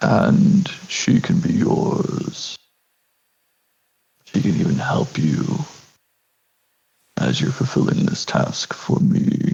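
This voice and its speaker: A man's high-pitched, put-on character voice at a very slow pace, with long, frequent pauses. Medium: actual play. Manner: formal, measured.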